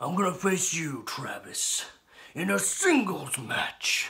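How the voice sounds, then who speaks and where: A man puts on a character voice, raspy and high-pitched. He speaks at a fairly slow pace. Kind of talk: wrestling promo. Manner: brash, shouting, boastful.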